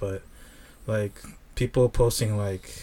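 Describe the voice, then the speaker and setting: Speaking at a fairly slow pace, a man with a fairly low pitch has an unremarkable speaking voice and fairly even intonation. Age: 30s. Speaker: associate director at an organization. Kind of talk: casual chat.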